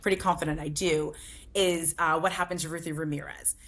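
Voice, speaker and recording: A woman speaks at a fairly low pitch, her intonation fairly even. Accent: American. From New Jersey. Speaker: book club founder. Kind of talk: interview conversation.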